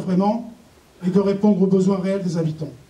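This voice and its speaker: Audible room echo fills this recording of a man speaking at a high pitch. He keeps a moderate pace with monotone, flat intonation. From southern France (Var). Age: 40s. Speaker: municipal election candidate, teacher. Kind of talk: campaign speech read from notes. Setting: public meeting hall with audience. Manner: halting, many hesitations.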